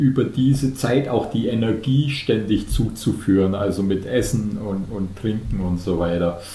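Here a man speaks at a very slow pace, somewhat breathy, with a fairly low pitch and ordinary pitch variation. Audible room echo surrounds his voice. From Bavarian Swabia, Germany (Unterallgäu near Kaufbeuren). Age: 50s. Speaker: ultrarunner, retiree. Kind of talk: podcast interview.

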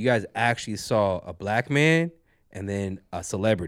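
On a very clean recording with a silent background, a man with fairly low pitch speaks with lively intonation. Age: 30s. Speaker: podcast co-host. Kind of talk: casual chat. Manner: animated.

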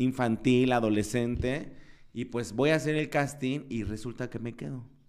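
In an unremarkable speaking voice of medium pitch, a man talks at a moderate pace. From Mexico, Guerrero (Chilpancingo). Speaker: TV presenter and entrepreneur. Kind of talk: interview.

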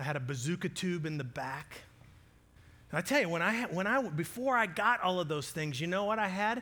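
A man speaks at a moderate pace in a high, bright, sharp voice with lively intonation. The recording is very clean, with a silent background. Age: 40s. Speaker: pastor. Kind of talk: sermon.

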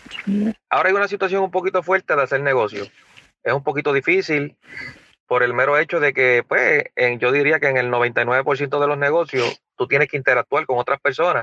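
A man with a bright, sharp tone and a fairly high pitch speaks at a moderate pace with ordinary pitch variation and very even loudness, the sound dry and close with no echo over a quiet background. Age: 40s. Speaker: podcast co-host. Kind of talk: casual chat.

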